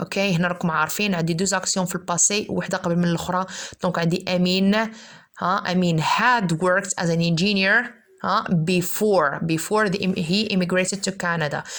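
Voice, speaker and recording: Her pitch sits at a medium level for a woman. The intonation is fairly even, and the loudness is very even. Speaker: English teacher. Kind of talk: lecture. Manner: fast.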